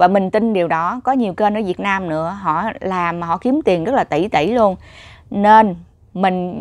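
Speaking at a fairly slow pace, a woman is heard over a quiet background. The sound is dry with no echo, and her pitch varies in an ordinary way. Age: 30s. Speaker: YouTuber vlogger. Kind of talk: casual vlog monologue. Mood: reflective, earnest. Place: home room. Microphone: lapel.

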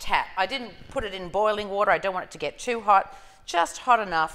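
Moderate pacing from a female speaker. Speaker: cooking demonstrator. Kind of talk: tutorial. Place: kitchen. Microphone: lapel.

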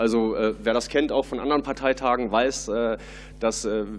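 Light noise is present behind the voice. A man speaks fairly quickly. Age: 30s. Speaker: party board candidate; candidate. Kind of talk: candidate Q&A. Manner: hesitant, many fillers. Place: hall. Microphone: podium.

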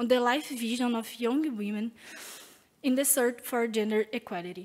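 A woman with a Brazilian accent talks at a high pitch and a moderate pace. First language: Portuguese. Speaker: PhD student in astronomy; conference presenter. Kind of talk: conference talk. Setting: in-person conference. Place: hall. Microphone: podium.

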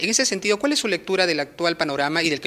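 A man talks in a bright, sharp tone. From Peru. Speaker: news reporter. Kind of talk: interview. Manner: formal. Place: office. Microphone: handheld.

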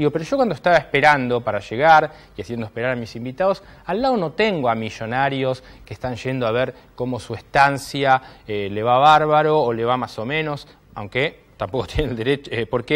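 Pitched fairly high, a man speaks at a fairly quick pace. His pitch varies in an ordinary way. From Argentina. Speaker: TV political talk show host. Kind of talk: opinion monologue; interview. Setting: studio. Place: studio. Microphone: lapel.

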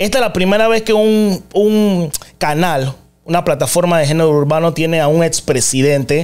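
A man's high voice with ordinary pitch variation and very even loudness, over a quiet background. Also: moderate pace. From Panama. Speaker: podcast host. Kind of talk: interview. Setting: studio. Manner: animated. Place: studio. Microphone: studio mic.

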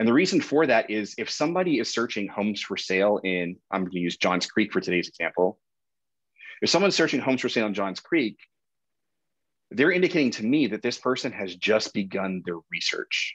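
A man at a fairly quick pace, fairly low in pitch, with very wide pitch swings against a quiet background. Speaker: real estate marketing instructor. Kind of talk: lecture. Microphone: webcam.

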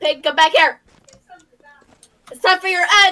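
A put-on character voice shouts loudly. The pace is moderate. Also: woman, extremely high pitch for a woman. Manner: loud, shouting.

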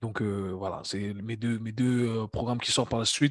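Against a quiet background, a man with a medium pitch speaks in a normal speaking voice at a fairly quick pace, his intonation fairly even. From Switzerland, Geneva. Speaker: fitness coach and entrepreneur. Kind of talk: casual interview conversation.

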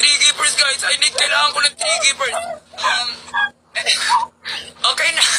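Over noticeable background noise, a woman speaks in a raised, projected voice with lively intonation. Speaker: live streamer. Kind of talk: casual live-stream chat and game instructions. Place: home room. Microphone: phone near.

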